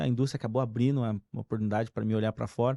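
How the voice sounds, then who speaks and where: Recorded dry and close with no echo against a quiet background, a man with a slight mineiro accent speaks at medium pitch in a dark, mellow tone. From Brazil, interior of Minas Gerais. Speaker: company executive. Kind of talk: casual chat.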